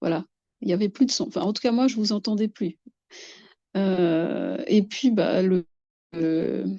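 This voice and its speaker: A woman with a medium pitch and a dark, mellow tone uses lively intonation and long, frequent pauses, recorded in a dry, close sound with no echo. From Madagascar. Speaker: guest describing harassment experiences. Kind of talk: testimony. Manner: halting, many repetitions.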